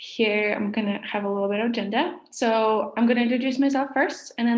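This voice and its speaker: A woman speaks with a Russian accent. Her voice is fairly high, and her pace is fairly quick. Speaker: social media marketing workshop leader. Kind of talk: online workshop presentation.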